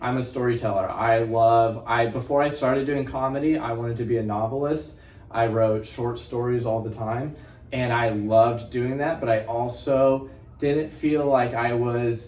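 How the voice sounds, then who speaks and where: In a room with audible echo, a man speaks with fairly even intonation. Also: medium pitch for a man, moderate pace. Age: 20s. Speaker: stand-up comedian. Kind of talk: casual interview chat.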